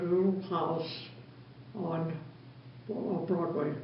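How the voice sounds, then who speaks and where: Noticeable background noise sits behind a woman whose pitch is fairly low. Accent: American. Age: 80s+. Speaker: lifelong church member. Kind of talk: interview answer.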